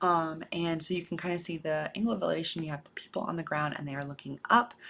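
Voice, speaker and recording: A soft-spoken woman talks with a very deep, low pitch. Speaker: math teacher. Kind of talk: lecture.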